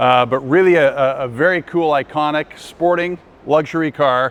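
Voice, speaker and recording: A man is speaking here. His pitch sits fairly high. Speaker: auctioneer and car specialist. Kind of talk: casual talk to camera, promotional car presentation. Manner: casual, conversational, enthusiastic.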